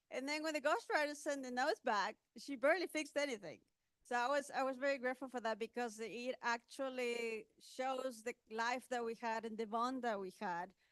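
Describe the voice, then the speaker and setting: A woman with a non-native accent speaks at a fairly quick pace in a high voice, her pitch varying in an ordinary way, with a dry, close sound and no echo. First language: not English. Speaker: author and technology speaker. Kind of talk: panel talk at book launch. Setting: event with audience. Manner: halting.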